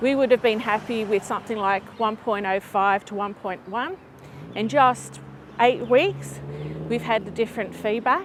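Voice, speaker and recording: Moderately paced speech from a woman, pitched fairly high, intonation fairly level, background noise clearly present. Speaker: property educator and channel host. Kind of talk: casual talk to camera.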